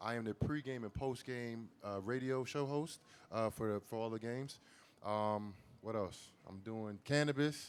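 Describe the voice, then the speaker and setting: A man with an unremarkable speaking voice talks at a moderate pace, using a medium pitch and ordinary pitch variation. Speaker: former NFL player, radio host. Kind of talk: panel discussion. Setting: live event with audience.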